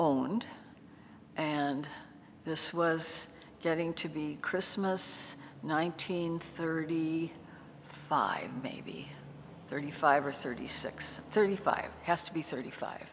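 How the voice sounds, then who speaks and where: A woman with an American accent speaks at a very deep, low pitch and a very slow pace, with long, frequent pauses. Her intonation is fairly even, and there is audible room echo. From North Dakota, US. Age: 80s+. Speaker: retired nurse and local historian. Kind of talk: interview, personal life story.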